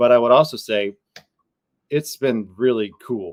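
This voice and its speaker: A man with an American accent uses an ordinary speaking voice with ordinary pitch variation and a dry, close sound with no echo. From Wisconsin. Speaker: rock band vocalist. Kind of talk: interview. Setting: podcast.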